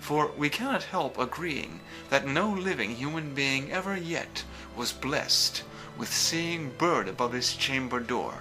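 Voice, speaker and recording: A man with a fairly high pitch at a fairly slow pace, music in the background. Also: ordinary pitch variation. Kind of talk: poetry reading. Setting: background music.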